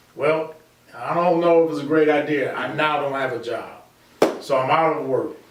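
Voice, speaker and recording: A man with an American accent, fairly high-pitched, at a moderate pace with monotone, flat intonation and long, frequent pauses, amid noticeable background noise and audible room echo. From US Midwest, south side of Chicago. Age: 60s. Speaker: construction company founder. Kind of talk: interview.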